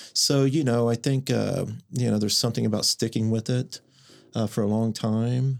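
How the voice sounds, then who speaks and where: A man talks in an ordinary speaking voice, medium in pitch. The intonation is fairly even. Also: very clean recording, silent background. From Oklahoma, Mustang. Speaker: painter. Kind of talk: casual interview.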